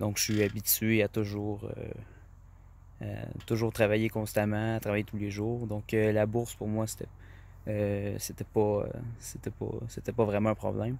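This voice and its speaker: With a Quebec accent, a man talks at a fairly slow pace and fairly low pitch, his intonation monotone and flat, with long, frequent pauses. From Quebec, rural farm. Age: 20s. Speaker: farmer and trading student. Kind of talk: testimony. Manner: halting, many fillers.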